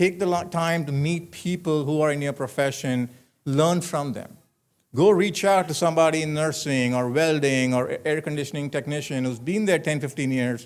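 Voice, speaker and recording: With an Indian accent, a man speaks at a moderate pace in a fairly high pitch with ordinary pitch variation, on a very clean recording with a silent background. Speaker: commencement speaker, manufacturing executive. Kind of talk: commencement speech. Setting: graduation ceremony with audience.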